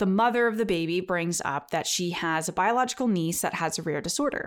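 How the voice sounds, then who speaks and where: In a very clean recording with a silent background, a woman of medium pitch talks at a fairly quick pace with ordinary pitch variation in an unremarkable speaking voice. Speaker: genetic counselor and podcaster. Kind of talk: storytelling.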